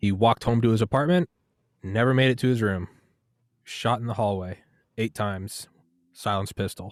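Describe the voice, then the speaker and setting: The recording is very clean, with a silent background and a dry, close sound with no echo. A man with an American accent talks at a fairly quick pace in a medium pitch with ordinary pitch variation, pausing long and often. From United States. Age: 30s. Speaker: podcast host. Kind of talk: casual interview.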